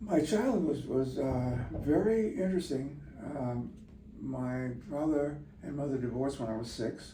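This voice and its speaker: The speaker uses lively intonation at a moderate pace, with audible room echo and noticeable background noise. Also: man, fairly high pitch for a man. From US Midwest, Chicago south side. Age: 80s+. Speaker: sea captain. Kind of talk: interview.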